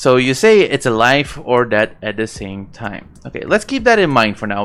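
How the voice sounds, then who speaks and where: With music in the background, a man with a non-native accent speaks at a moderate pace with lively intonation. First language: not English. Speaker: YouTuber explaining science. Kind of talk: casual explainer monologue. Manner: halting, many fillers and self-corrections.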